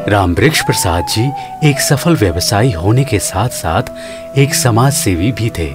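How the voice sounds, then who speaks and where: A man at a very slow pace with very wide pitch swings, in a dry sound with no echo and clear music in the background. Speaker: audio advertisement voice-over artist. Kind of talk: documentary-style biographical narration. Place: studio.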